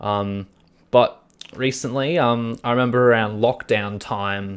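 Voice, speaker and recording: The speaker is a man. He has an Australian accent. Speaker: podcast co-host. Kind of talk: casual chat. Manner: halting.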